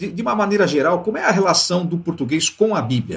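A man's high voice, fairly quick in pace, with lively intonation. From Brazil. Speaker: podcast host. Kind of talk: interview.

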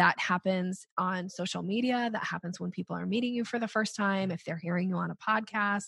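In a quiet background, a woman speaks at a medium pitch in a somewhat breathy voice with ordinary pitch variation. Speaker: sales coach. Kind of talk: podcast interview. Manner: upbeat, rising intonation.

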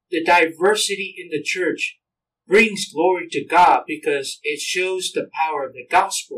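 With a Samoan accent, a man speaks at a fairly slow pace, his loudness swinging widely. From American Samoa. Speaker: minister. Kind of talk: casual chat. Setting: church.

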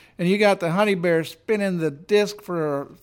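A man with a high voice speaks in a warm, relaxed tone and ordinary pitch variation. The recording is very clean, with a silent background. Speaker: radio host. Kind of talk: radio DJ patter introducing blues tracks. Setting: radio station broadcast. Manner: warm, relaxed, easygoing; upbeat, promotional.

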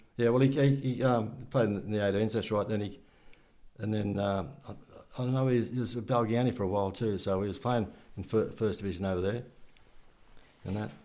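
In an Australian accent, a man with a fairly low pitch and a dark, mellow tone talks at a fairly quick pace with fairly even intonation and long, frequent pauses, amid audible room echo. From Wollongong area, New South Wales, Australia. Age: 70s. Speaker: retired amateur football coach and club volunteer. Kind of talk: interview, casual reminiscing. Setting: at home. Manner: halting, repeats words.

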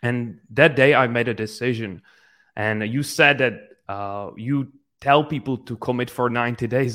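A fairly slow, fairly even delivery with a non-native accent, on a very clean recording with a silent background. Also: man. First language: not English. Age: 20s. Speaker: entrepreneur and business coach. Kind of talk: interview.

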